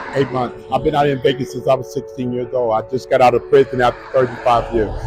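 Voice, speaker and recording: Over music in the background, a man speaks at a very fast pace. His medium pitch shows ordinary variation. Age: 80s+. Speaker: homeless man, former prisoner. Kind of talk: street interview.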